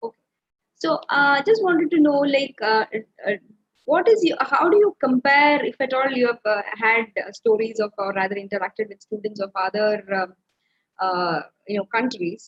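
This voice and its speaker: With an Indian accent, a woman talks at a moderate pace in a high pitch with lively intonation. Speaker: webinar host. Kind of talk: webinar interview.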